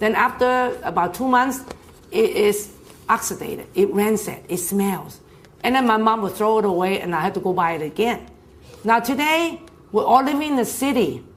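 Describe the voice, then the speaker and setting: Lively intonation moves at a moderate pace, with audible room echo and noticeable background noise. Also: woman, fairly high pitch for a woman. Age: 60s. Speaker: health product presenter. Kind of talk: sales talk / health seminar. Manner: casual, repetitive, conversational.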